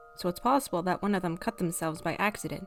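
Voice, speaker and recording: A woman talks at a very fast pace, her pitch medium. Music plays in the background. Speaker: horror story narrator. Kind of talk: horror story reading.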